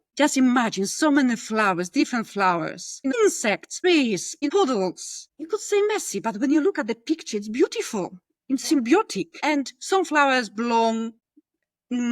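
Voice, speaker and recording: In a strong Polish accent, a woman with a high voice speaks at a fairly slow pace, her pitch swinging very widely, in a very clean, dry, close recording with no echo and a silent background. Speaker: podcast guest, corporate employee in multicultural workplace. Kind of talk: podcast interview conversation.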